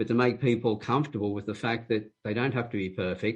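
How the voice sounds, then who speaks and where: A man speaks at a fairly quick pace, his voice somewhat breathy. The background is quiet. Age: 70s. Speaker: profiling and communications consultant. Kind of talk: interview. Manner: hesitant, with many fillers.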